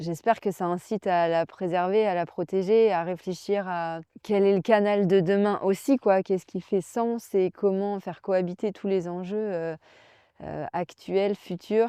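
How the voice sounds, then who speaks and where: A woman's dark, mellow voice at medium pitch, fairly slow and fairly even, dry and close with no echo, over a quiet background. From Brittany, France. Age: 30s. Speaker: olympic kayaker and adventurer. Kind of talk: interview. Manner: hesitant, many fillers.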